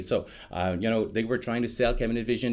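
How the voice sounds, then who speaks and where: A man talks in a French Canadian accent. His pitch is medium, with ordinary variation. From Quebec. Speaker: software product evangelist. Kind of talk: interview. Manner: casual with many fillers.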